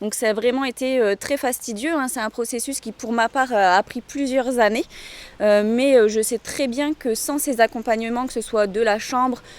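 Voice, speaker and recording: With a dry, close sound and no echo, a high-voiced woman speaks at a moderate pace and with fairly even intonation. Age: 30s. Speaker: snail farmer. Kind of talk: interview testimony. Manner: hesitant, many filler sounds.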